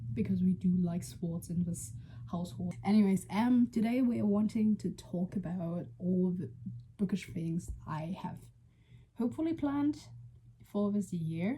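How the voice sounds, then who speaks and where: Somewhat breathy and dark, mellow in tone, a woman with a fairly low pitch speaks at a moderate pace with very wide pitch swings. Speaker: book vlogger. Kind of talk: casual vlog. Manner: hesitant, many fillers.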